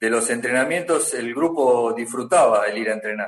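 Here is a man with a normal speaking voice and medium pitch. He talks at a fairly slow pace with ordinary pitch variation. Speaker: former footballer. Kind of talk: casual chat. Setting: video call.

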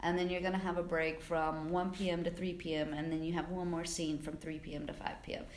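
Someone with an American accent talks at a fairly quick pace in a monotone, flat intonation, with hardly any pauses. The clip has noticeable background noise and audible room echo. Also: woman, fairly low pitch for a woman. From South Carolina. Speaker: film assistant director. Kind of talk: interview.

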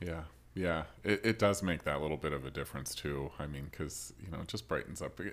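In an American accent, a man talks with a very deep, low pitch and vocal fry. His pace is fairly quick, with ordinary pitch variation. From Rochester, US. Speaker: podcast host. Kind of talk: casual interview.

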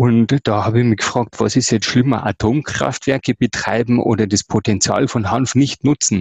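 Speaking with a Bavarian accent, a man keeps his intonation fairly even. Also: dry, close sound with no echo. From Ingolstadt, Bavaria. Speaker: sustainability activist. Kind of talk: podcast interview. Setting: virtual studio.

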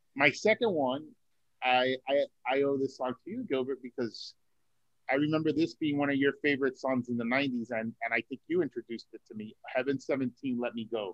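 At a moderate pace, a man talks in a normal speaking voice at a medium pitch with ordinary pitch variation. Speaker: podcast co-host. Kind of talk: casual chat.

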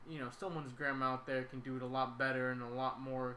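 Speaking at a moderate pace with an American accent, a man has a bright, sharp tone and fairly high pitch amid audible room echo. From Sacramento, California. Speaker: podcast host. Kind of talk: casual chat.

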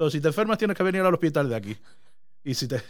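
A man is speaking. His pitch sits fairly high. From Canary Islands. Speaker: podcast host. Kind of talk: casual chat. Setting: small room.

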